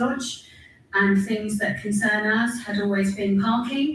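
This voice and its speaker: Speaking at a fairly slow pace, a woman has a fairly high pitch, and room echo can be heard. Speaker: council staff member. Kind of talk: council meeting speech. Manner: loud.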